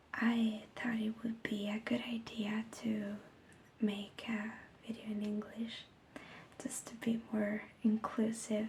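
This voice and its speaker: Soft-spoken, a woman talks at a very slow pace in a fairly high pitch. Her intonation is monotone and flat. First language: Italian. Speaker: ASMR creator. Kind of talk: ASMR story reading. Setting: home recording without a microphone.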